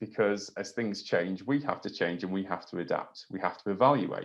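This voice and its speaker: A man's fairly low voice with an English accent, ordinary pitch variation and a fairly slow pace. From England. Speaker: trampoline coach. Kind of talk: webinar lecture. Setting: online webinar. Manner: hesitant, many fillers.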